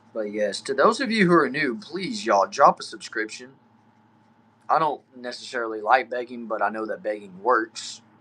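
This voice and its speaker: In a Southern Texas accent, a man with a medium-pitched, bright, sharp voice talks at a moderate pace with lively intonation and an upbeat tone. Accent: Southern Texan. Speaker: streamer. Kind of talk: live stream chat reading comments. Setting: back shed. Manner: casual, upbeat.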